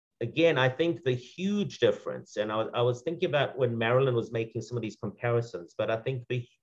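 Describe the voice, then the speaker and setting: Here a man talks at a moderate pace. His medium-pitched voice is somewhat breathy. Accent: South African. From South Africa. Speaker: second-generation Holocaust survivor speaker. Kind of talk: panel remarks at commemoration event. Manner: halting, many fillers.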